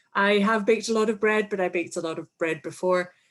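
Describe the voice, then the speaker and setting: With a Scottish accent, a woman talks at a fairly high pitch against a quiet background. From Scotland. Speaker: English teaching presenter. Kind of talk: webinar presentation. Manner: animated.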